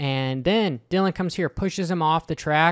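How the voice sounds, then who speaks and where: A man's moderate-paced speech, with ordinary pitch variation, comes through against a quiet background. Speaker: motocross commentator. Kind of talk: commentary. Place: home room. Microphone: studio mic.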